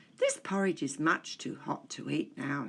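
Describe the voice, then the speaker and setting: This is a put-on character voice with a raspy sound. The speaker keeps a moderate pace. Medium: read story.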